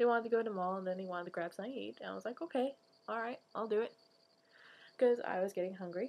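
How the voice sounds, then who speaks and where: A quiet woman speaks at a very fast pace, broken by long, frequent pauses. Her pitch is medium, with ordinary variation. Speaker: vlogger. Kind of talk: personal confessional vlog. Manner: quiet, hushed; halting, many fillers.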